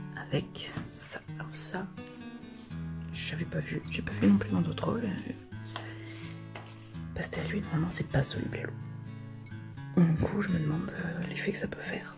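With clear music in the background, a woman with a very deep, low voice speaks at a moderate pace, using very wide pitch swings and long, frequent pauses. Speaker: crafts YouTuber. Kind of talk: casual talk to camera. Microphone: phone near.

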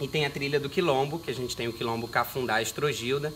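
A man's voice over light background noise. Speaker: guest. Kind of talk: interview answer. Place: garden. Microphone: camera far.

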